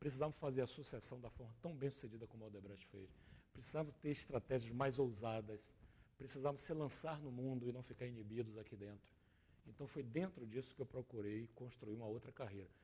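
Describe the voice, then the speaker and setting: Somewhat breathy and dark, mellow in tone, a man talks at a fairly quick pace and medium pitch, with ordinary pitch variation and big swings in loudness. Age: 60s. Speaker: business consultant and former executive. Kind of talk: TV interview. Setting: TV studio.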